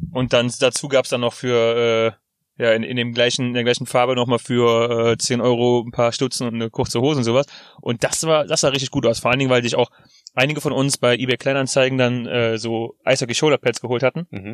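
In a dry, close recording with no echo, a man talks at a fairly quick pace with a medium pitch and a monotone, flat intonation. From Rhineland, Germany. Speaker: podcast co-host. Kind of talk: casual chat. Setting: in a parked car.

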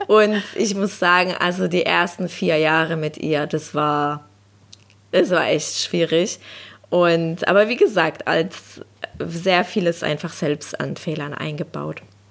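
A woman with fairly low pitch, fairly even intonation and a very slow pace. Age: 30s. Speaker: social worker and dog owner. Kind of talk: casual interview chat.

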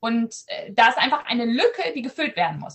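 The woman's voice sits fairly high and her intonation is lively. She keeps a moderate pace. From Southern Schleswig, Germany (Danish minority). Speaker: ed-tech startup founder, AI researcher. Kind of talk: video podcast interview. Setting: video call from home.

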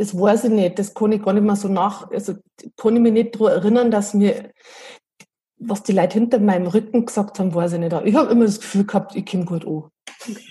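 A woman's medium-pitched voice at a very fast pace, with fairly even intonation. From Bavaria, Berchtesgadener Land (Bad Reichenhall). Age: 40s. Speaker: improv theatre enthusiast, self-employed mother. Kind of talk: casual interview.

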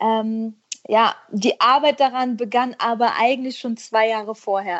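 A woman's normal speaking voice at a fairly high pitch and a fairly slow pace. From western Germany, Herzogenrath near Aachen. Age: 30s. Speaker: schlager singer. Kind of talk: casual interview. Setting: remote call.

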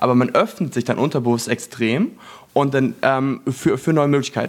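It is a plain, everyday voice with ordinary pitch variation. The pace is fairly quick. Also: man. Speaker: branding entrepreneur, former network marketer. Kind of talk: casual chat. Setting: apartment in Los Angeles.

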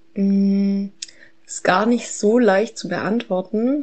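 This woman speaks at a medium pitch. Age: 30s. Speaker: mother. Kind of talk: recorded monologue.

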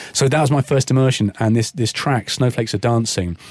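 A somewhat breathy man talks at a very fast pace and medium pitch, recorded with a dry, close sound and no echo. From southern England (born London, Kingston; family ties to Cornwall). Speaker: DJ and electronic music producer. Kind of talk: casual interview chat.

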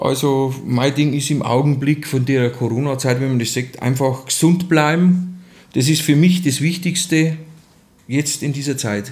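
With a Bavarian accent, the speaker talks at a fairly slow pace, somewhat breathy, with fairly even intonation and audible room echo. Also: man, fairly high pitch for a man. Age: 40s. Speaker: construction site manager. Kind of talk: casual interview. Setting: hotel heating plant.

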